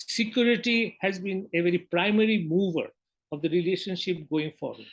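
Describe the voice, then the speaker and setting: At a moderate pace, a high-pitched man with a Bengali accent speaks with ordinary pitch variation. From Bangladesh. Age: 70s. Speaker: newspaper editor. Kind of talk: interview.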